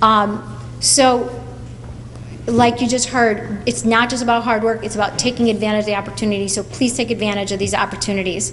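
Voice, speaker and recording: A woman speaks at a moderate pace with fairly high pitch and ordinary pitch variation. Audible room echo and noticeable background noise come through. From Portugal. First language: Portuguese. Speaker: college advisor. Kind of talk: speech to students at school event.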